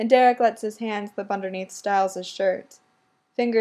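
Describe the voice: The background stays quiet. The clip is plain reading aloud.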